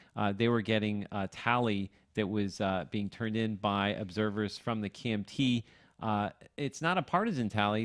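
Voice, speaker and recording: In a very clean recording with a silent background and a dry, close sound free of echo, a man with a fairly low pitch and ordinary pitch variation uses an ordinary speaking voice. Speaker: radio host. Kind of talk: live election coverage. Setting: studio.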